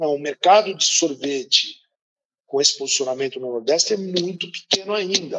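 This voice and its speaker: Here a man speaks with a high pitch. His pace is moderate and his pitch variation ordinary. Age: 50s. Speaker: business executive. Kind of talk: interview.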